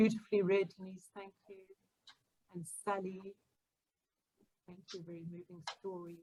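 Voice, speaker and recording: A woman with a medium-pitched, somewhat breathy voice and a dark, mellow tone speaks at a moderate pace in a monotone, flat intonation, with big swings in loudness and long, frequent pauses. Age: 50s. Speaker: author. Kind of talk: casual chat.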